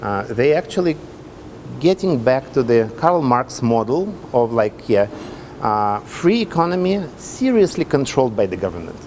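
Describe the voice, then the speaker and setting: A man with a Russian accent speaks at a medium pitch and a moderate pace, his pitch swinging very widely. Noticeable background noise can be heard. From Russia (Soviet Union). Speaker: hotel development executive. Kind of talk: interview. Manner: halting.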